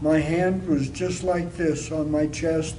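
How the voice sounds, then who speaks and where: A man's fairly high voice, fairly slow and flat in a monotone, with audible room echo and noticeable background noise. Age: 60s. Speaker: stroke patient. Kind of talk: testimony.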